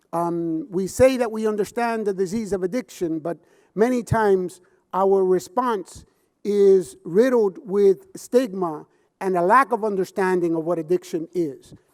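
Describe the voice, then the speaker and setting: Speaking at a fairly slow pace, a man with a Puerto Rican accent has a high pitch and ordinary pitch variation. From Puerto Rico. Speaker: addiction counselor and public speaker. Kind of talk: conference keynote speech. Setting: conference stage with audience. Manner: passionate, impassioned.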